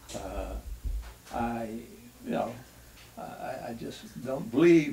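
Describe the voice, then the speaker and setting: A man speaks at a very slow pace. Light background noise can be heard. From North Carolina. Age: 80s+. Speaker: retired baseball pitcher and war veteran. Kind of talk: interview answer. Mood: reflective, reminiscing. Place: home room.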